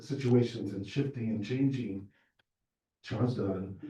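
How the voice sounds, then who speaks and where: With an American accent, a man speaks at a medium pitch in a dark, mellow tone and fairly even intonation. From Southern California. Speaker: political candidate. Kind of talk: candidate forum speech. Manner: hesitant with many fillers.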